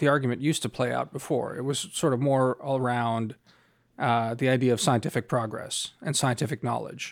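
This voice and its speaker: A man speaking at a moderate pace. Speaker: podcast host and foreign policy analyst. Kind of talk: casual chat. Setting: remote recording over headphones.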